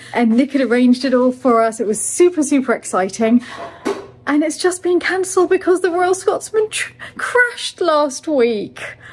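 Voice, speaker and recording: With music playing behind her, a woman speaks in a high voice whose pitch swings very widely. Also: moderate pace. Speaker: chateau owner vlogger. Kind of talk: casual vlog chat. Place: home room. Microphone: phone near.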